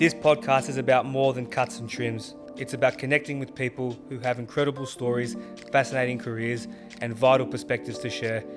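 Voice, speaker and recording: A man talks fairly fast while music plays behind him. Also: medium pitch for a man, ordinary pitch variation. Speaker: barber and podcast host. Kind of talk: podcast intro read.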